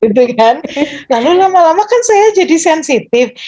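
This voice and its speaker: A woman's high-pitched voice with a dark, mellow tone, very wide pitch swings and a moderate pace. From Surabaya, East Java, Indonesia. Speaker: university lecturer. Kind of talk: interview.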